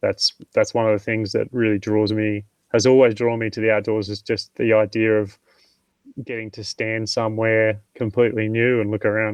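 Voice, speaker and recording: Speaking with a strong Australian accent, a man delivers flat, monotone lines at a moderate pace and a medium pitch. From Tasmania, Australia. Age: 30s. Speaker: mountain training specialist. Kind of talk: podcast interview.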